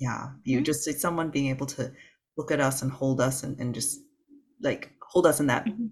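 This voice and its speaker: A somewhat breathy man's voice, fairly high in pitch, at a moderate pace with ordinary pitch variation. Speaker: podcast host, former doctor. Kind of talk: casual interview.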